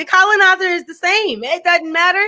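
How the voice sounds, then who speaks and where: A woman's extremely high-pitched, raised and projected voice, bright and sharp in tone, with an American accent. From USA. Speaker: education scholar. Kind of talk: interview discussion.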